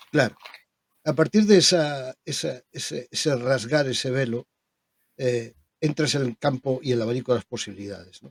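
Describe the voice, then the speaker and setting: Medium pitch from a man at a moderate pace, with ordinary pitch variation and big swings in loudness. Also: dry, close sound with no echo. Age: 60s. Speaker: spiritual medium. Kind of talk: interview conversation. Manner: halting.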